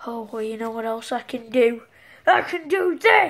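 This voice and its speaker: A woman uses a cartoonish character voice at a fairly high pitch. Her pace is moderate. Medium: puppet show. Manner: sarcastic.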